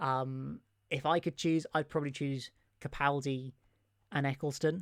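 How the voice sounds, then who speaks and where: A man with an English accent and ordinary pitch variation, in a very clean recording with a silent background. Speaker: Doctor Who YouTuber. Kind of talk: live stream chat with viewers. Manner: fast; animated.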